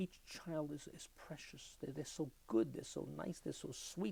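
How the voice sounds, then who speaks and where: A man's fairly high pitch in a New York accent at a fairly slow pace. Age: 70s. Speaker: klezmer musician. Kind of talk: oral history interview. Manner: repetitive, stuttering restarts.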